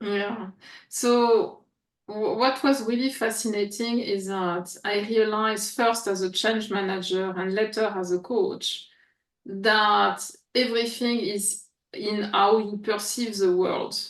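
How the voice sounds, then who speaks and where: Speaking at a very slow pace, a woman uses a fairly high pitch and fairly even intonation in a French accent. Room echo is audible. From France, Paris. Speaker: coach and former researcher. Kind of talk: interview. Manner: halting, with fillers.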